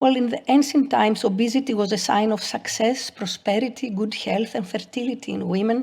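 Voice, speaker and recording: The speaker uses vocal fry and leaves hardly any pauses. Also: woman, fairly high pitch for a woman, very clean recording, silent background. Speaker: pathology professor. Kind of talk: lecture. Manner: halting.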